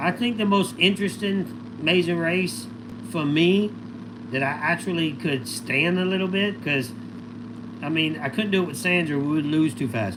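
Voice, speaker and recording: At a moderate pace and a fairly high pitch, a man speaks amid noticeable background noise and audible room echo. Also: lively intonation. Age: 50s. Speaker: livestreamer, former reality TV contestant. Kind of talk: casual livestream chat answering viewer questions. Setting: solo livestream. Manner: loud; animated.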